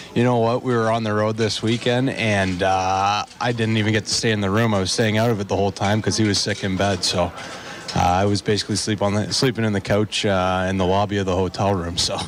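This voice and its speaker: Monotone, flat intonation at a fairly quick pace in a Canadian accent, with very even loudness, hardly any pauses and noticeable background noise. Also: man, fairly low pitch for a man. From Canada. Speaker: assistant hockey coach. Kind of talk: radio interview. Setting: live radio broadcast from restaurant.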